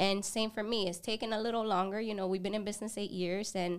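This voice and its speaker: On a very clean recording with a silent background, a woman speaks in a plain, everyday voice at medium pitch with fairly even intonation. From a developing country, moved to the US at 10. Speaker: photography business owner. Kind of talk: casual interview. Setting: podcast studio.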